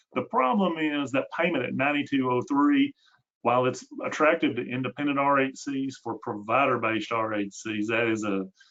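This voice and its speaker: A Tennessee accent at a moderate pace with ordinary pitch variation. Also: man. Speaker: healthcare consultant, webinar host. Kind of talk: webinar presentation. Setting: online webinar. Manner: hesitant, many fillers.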